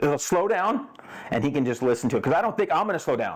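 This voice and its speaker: A man speaks in a high pitch with lively intonation, recorded very cleanly against a silent background. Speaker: dirt bike tech podcast host. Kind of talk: casual chat. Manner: fast.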